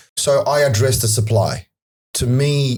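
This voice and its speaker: The man's voice has a dark, mellow tone and comes across as somewhat breathy. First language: not English. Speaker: property data analyst. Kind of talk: podcast interview.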